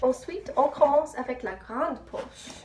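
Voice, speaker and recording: A woman with an English accent at a very slow pace, amid noticeable background noise. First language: English (speaking French). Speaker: student vlogger. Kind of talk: casual vlog. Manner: halting.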